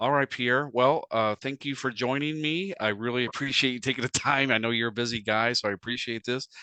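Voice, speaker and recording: A man with an ordinary speaking voice talks at a fairly quick pace and a medium pitch. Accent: American. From United States. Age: 50s. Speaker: radio host. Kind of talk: casual chat.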